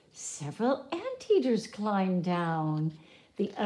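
A natural reading voice is heard. It carries the passage.

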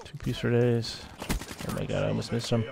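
A man speaking at a fairly quick pace amid noticeable background noise. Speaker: gaming youtuber. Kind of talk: live gameplay commentary. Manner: monotone.

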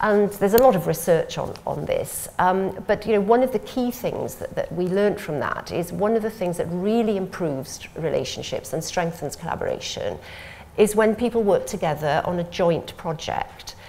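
A woman with a Welsh accent, hardly any pauses. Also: moderate pace. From Wales. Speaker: civil servant. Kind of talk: panel discussion. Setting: stage with audience. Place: meeting room. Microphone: lapel.

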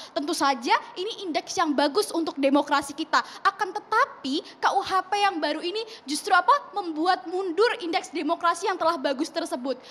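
Lively in intonation, a woman with an extremely high pitch talks at a moderate pace with hardly any pauses. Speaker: student activist. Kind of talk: televised talk show debate. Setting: TV studio. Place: studio. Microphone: handheld.

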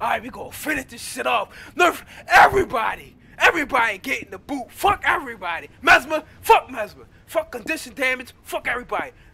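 Someone shouts with very wide pitch swings over noticeable background noise. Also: man, extremely high pitch for a man. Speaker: gaming youtuber, Guild Wars 2 player. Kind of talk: angry rant, profane comedic patch-notes tirade.

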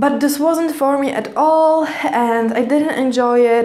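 A woman is speaking. She has a Polish accent. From Poland. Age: 20s. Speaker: vlogger. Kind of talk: personal vlog monologue. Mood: calm, reflective storytelling. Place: home room.

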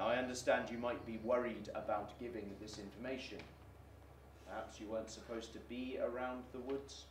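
A man at a fairly quick pace with fairly even intonation, light background noise and audible room echo. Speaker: actor playing a police detective. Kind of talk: dramatic monologue addressing schoolchildren. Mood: grave, firm, reassuring. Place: studio.

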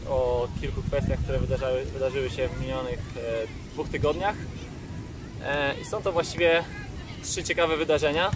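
This man talks at a fairly quick pace with ordinary pitch variation, his voice dry with no echo over noticeable background noise. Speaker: volleyball coach. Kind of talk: casual vlog chat. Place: beach. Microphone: phone near.

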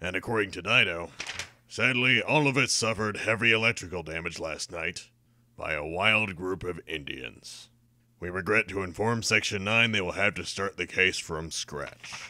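This man's voice is very deep and low in pitch. He speaks at a moderate pace. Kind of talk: deadpan comic delivery. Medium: fan dub. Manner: smug, dry, mocking.

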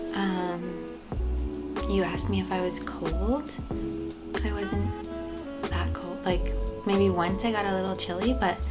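A woman speaks at a moderate pace while loud music fills the background. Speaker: guest. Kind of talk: casual vlog chat. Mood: relaxed, cozy. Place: home room.

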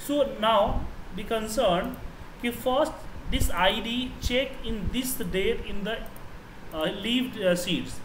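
A man's high voice with an Indian accent, at a very slow pace with long, frequent pauses and ordinary pitch variation, over noticeable background noise. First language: Hindi. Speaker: Excel trainer. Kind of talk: tutorial. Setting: online class. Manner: halting.

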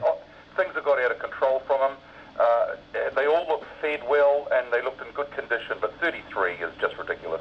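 A man talks at a fairly quick pace. There is light background noise. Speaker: radio talkback host. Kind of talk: radio talkback host responding to a caller. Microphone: phone line.

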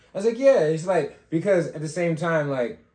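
In a room with audible echo but a quiet background, a man speaks somewhat breathily with ordinary pitch variation. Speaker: podcast co-host. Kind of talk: casual chat. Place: studio.

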